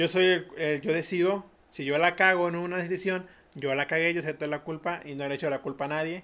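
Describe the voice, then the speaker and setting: A man with a high pitch and ordinary pitch variation. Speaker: podcast host. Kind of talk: casual interview chat.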